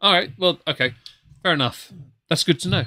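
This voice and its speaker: A man with an English accent, very fast, in a bright, sharp tone, on a very clean recording with a silent background. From England. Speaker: whisky podcast host. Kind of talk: casual chat.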